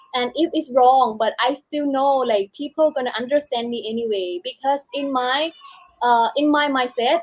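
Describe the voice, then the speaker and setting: In a Thai accent, a woman speaks at a fairly slow pace and a high pitch. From southern Thailand, Chumphon. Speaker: beauty pageant contestant. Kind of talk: casual interview. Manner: halting.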